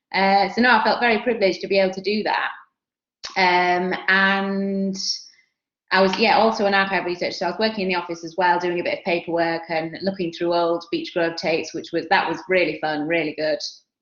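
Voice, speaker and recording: A woman's medium-pitched voice in a Yorkshire accent, fairly quick in pace, with fairly even intonation. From Yorkshire, northern England. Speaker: television production alumna. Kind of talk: career talk at online workshop. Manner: casual, chatty with fillers.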